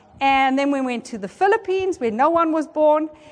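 The delivery is animated, with very wide pitch swings. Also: woman. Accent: South African. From South Africa. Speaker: seminar presenter. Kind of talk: lecture. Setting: conference room with audience.

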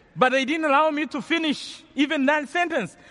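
A man speaks with a Rwandan accent at a fairly quick pace. His tone is bright and sharp. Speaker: theology professor and preacher. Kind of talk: testimony; elder telling their life: first-person survival story told as a sermon. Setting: stage with large audience. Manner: earnest, measured, gravely intense, recounting a life-or-death ordeal; preacherly, with pauses and emphasis.

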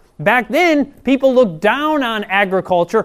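Speaking fairly slowly with a Midwestern American accent, a man uses an animated tone and lively intonation. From Michigan. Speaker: health and prophecy seminar speaker. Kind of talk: sermon.

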